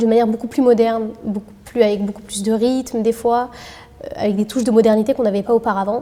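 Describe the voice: A woman speaks at a fairly high pitch. Her tone is dark and mellow.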